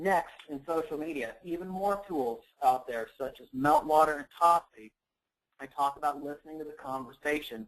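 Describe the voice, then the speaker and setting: An unremarkable speaking voice from a man, fairly high in pitch, with ordinary pitch variation, big swings in loudness and a moderate pace. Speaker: digital marketing expert presenting a webinar. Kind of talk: webinar presentation. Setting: online webinar.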